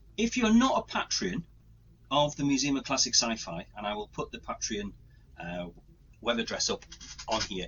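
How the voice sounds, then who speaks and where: With an English accent, a man speaks at a fairly high pitch and a moderate pace, his voice making very wide pitch swings between long, frequent pauses. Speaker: podcast host and museum creator. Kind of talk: casual chat. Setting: home recording. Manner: rambling, chatty.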